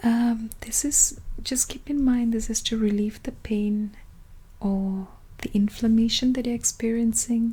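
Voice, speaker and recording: This speaker is soft-spoken, with a gentle tone. The pace is fairly slow. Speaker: ASMR roleplay creator playing a clinic consultant. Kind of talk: soft-spoken ASMR medical consultation roleplay. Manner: soft-spoken, gentle.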